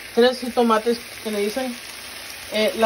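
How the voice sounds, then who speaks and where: Noticeable background noise runs under this recording. A woman talks in a high-pitched voice. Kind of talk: cooking tutorial. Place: kitchen. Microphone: phone near.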